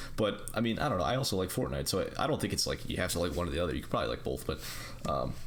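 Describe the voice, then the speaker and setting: A man speaks at a very fast pace with a very deep, low pitch and very wide pitch swings. There is audible room echo. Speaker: podcast host. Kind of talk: casual chat. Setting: online voice call. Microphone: audio cutting out.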